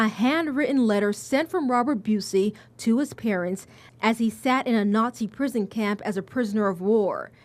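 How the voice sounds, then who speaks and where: A woman with a plain, everyday voice, fairly high in pitch, with ordinary pitch variation, at a moderate pace. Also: very even loudness. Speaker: TV reporter. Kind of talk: TV news report narration.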